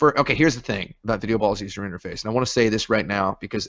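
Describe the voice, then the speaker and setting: A man with a slight Southern US accent and a fairly low-pitched voice. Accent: slight Southern drawl. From moved around US as army child. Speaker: game developer. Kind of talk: casual interview chat. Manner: rambling, joking.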